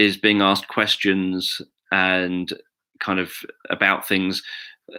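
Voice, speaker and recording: A man with a British accent speaks very slowly in a bright, sharp tone on a very clean recording with a silent background. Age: 40s. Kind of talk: live video monologue. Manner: monotone.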